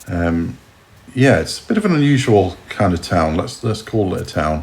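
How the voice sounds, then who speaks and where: Here is a man with a fairly low pitch. His intonation is lively. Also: moderate pace. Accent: southern English. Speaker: travel vlogger. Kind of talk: casual vlog narration. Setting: outdoors. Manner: casual, hesitant with many fillers.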